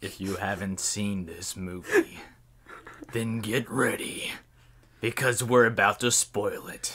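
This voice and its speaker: A man's put-on character voice at medium pitch, fairly slow, with long, frequent pauses. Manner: dramatic.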